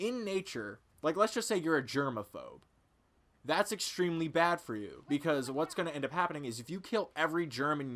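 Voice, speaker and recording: This is a very clean recording with a silent background. A man speaks in a bright, sharp tone. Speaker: gaming YouTuber. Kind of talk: casual rant to camera. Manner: slurring, stuttering.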